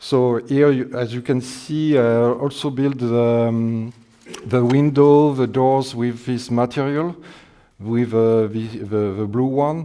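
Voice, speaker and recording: With a French accent, this man talks at a very slow pace in a dark, mellow tone, his medium pitch held in fairly even intonation. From France. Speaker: scale modeler. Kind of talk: demonstration talk. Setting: exhibition with public. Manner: halting.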